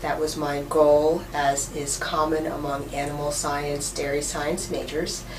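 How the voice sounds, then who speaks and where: Noticeable background noise and audible room echo surround this woman's voice. She speaks fairly slowly, her pitch very deep and low. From New York City. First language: Russian. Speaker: professor. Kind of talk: interview.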